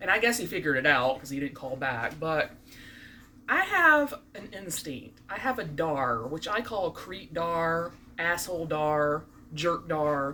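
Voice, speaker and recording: A woman with a slight Southern US accent, lively intonation and big swings in loudness. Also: fairly low pitch for a woman, fairly slow pace. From US South (Birmingham, Alabama). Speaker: vlogger, court clerk. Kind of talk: casual vlog monologue. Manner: animated.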